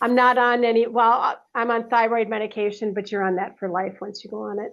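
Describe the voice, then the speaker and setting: A woman's fairly quick, fairly high-pitched speech in a flat monotone. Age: 60s. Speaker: health coaching client. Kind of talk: casual chat.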